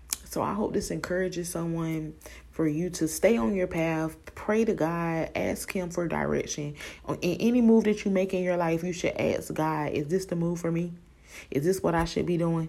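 At a moderate pace, a woman with a normal speaking voice talks at a fairly low pitch. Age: 20s. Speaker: podcaster and preschool worker. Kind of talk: casual faith-based monologue. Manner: conversational, frequent ums.

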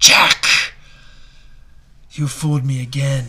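A man's put-on character voice, medium in pitch, monotone and flat, with hissing. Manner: hissing, aggrieved.

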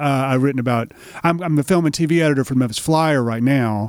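A man with an American accent speaks at a medium pitch with lively intonation against noticeable background noise. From Middle Tennessee, US South. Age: 50s. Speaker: writer, filmmaker and musician. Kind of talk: casual interview. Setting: on-location recording studio.

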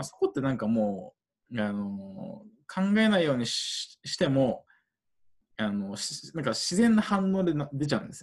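A man with a fairly high voice speaks with very wide pitch swings and big shifts in loudness. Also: moderate pace. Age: 20s. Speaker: international aid worker. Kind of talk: interview. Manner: halting, many fillers.

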